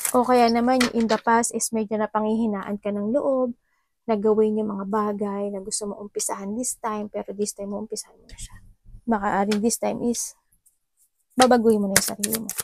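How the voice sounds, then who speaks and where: A woman speaks at a fairly quick pace and fairly high pitch, monotone and flat, with big swings in loudness. The sound is dry and close with no echo. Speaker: tarot reader. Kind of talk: tarot reading.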